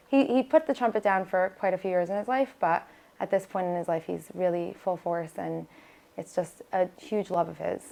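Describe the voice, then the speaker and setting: A woman speaks at a moderate pace with a New York accent, her pitch sitting in the middle range. Her tone is dark and mellow, with ordinary pitch variation. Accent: New York American. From US, Brooklyn New York, Israeli home. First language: Hebrew. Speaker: singer and nurse practitioner. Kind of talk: interview.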